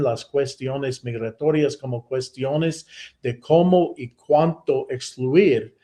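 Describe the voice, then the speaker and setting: With an American accent, a man speaks at a very slow pace in a fairly high, somewhat breathy voice with ordinary pitch variation. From United States. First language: English (speaking Spanish). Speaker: professor. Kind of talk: lecture. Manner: halting, many self-corrections.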